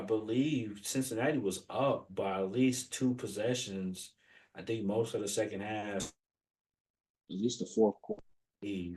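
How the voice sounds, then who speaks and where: With ordinary pitch variation, a man speaks at a moderate pace in a fairly low voice. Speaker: sports podcast co-host. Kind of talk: casual sports chat. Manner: halting, filler-heavy.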